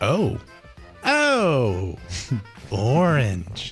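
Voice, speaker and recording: Over clear music in the background, a man puts on a character voice at a medium pitch. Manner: flat, robotic.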